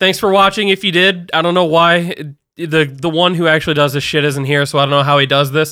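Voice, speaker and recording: With very even loudness and fairly even intonation, a man talks at a fairly quick pace in a normal speaking voice with a fairly high pitch. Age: 20s. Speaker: podcast host. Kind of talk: casual chat.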